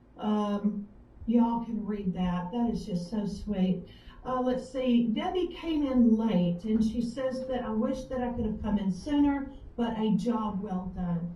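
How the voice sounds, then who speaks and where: Speaking with a Southern US accent, a woman is heard in a room with audible echo. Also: ordinary pitch variation, fairly slow pace. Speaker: author. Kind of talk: live web show interview. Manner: halting.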